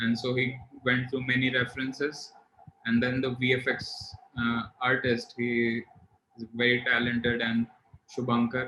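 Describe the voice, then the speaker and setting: A man's medium-pitched voice at a moderate pace, flat and monotone in intonation, broken by long, frequent pauses. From India. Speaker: filmmaker. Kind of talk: casual interview.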